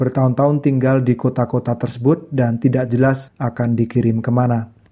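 At a fairly quick pace, a man speaks in a somewhat breathy voice of medium pitch, with monotone, flat intonation. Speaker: radio host. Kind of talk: radio interview. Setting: phone call.

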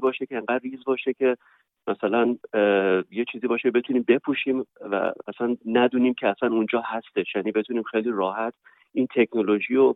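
This man talks very fast, his medium-pitched voice keeping fairly even intonation. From Iran, Tehran. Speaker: university professor and researcher. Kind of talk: interview. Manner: halting.

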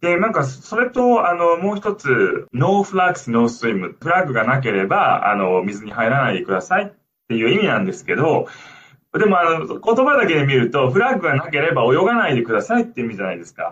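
At a fairly quick pace, a man speaks in a high pitch with very wide pitch swings. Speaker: linguistics researcher and former lifeguard. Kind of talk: radio interview. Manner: hesitant, many fillers.

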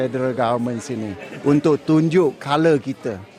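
Crowd noise fills the background. A man speaks at a fairly high pitch with ordinary variation. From Malaysia, Muar, Johor. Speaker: politician. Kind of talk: interview. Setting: outdoors at an event. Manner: halting, with fillers.

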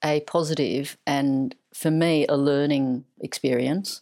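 A woman's very deep, low voice at a very slow pace, on a very clean recording with a silent background. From China, moved to Australia at eight. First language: Mandarin. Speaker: writer. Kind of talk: casual chat.

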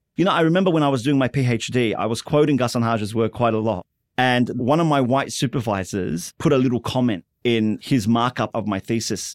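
A man with an Australian accent at a fairly quick pace, with ordinary pitch variation, a dry, close sound with no echo, and a very clean recording with a silent background. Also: medium pitch for a man. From Western Sydney, Australia. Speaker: novelist and playwright. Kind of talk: interview.

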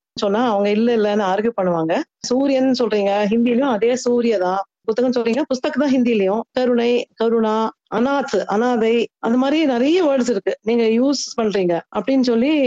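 The voice has a dark, mellow tone, ordinary pitch variation and very even loudness. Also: woman, fairly high pitch for a woman. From North India (Agra, Punjab, Delhi), Tamil family from Tirunelveli. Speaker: translator and author. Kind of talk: interview.

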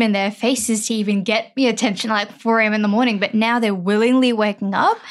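A woman with an Australian accent speaks at a fairly quick pace. Her pitch is fairly high and her intonation fairly even. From Sydney, Australia (Parramatta). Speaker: writer. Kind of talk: casual chat.

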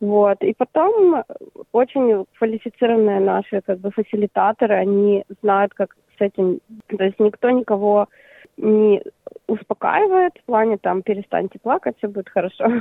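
Here is a woman with an unremarkable speaking voice, a fairly high pitch, ordinary pitch variation and a moderate pace. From Ukraine, Crimea. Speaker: art therapy project founder. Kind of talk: interview.

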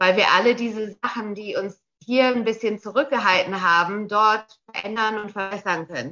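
Here a woman talks at a medium pitch and a moderate pace. Her pitch varies in an ordinary way. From Australia. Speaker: castle owner and tourism business operator. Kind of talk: radio interview. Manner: halting, many repeated words.

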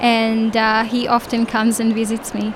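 The talking goes at a fairly slow pace against noticeable background noise. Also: woman. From Israel. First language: Hebrew (speaking German). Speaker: children's book illustrator. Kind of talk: interview.

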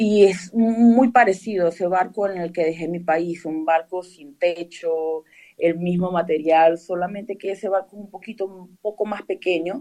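Her tone dark and mellow, a woman talks at a fairly slow pace and medium pitch with ordinary pitch variation. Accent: Venezuelan. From Venezuela. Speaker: museum tour guide. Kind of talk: interview.

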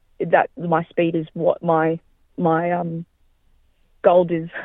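A fairly low-pitched woman's voice with an Australian accent. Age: 20s. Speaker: amateur athlete. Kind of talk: interview.

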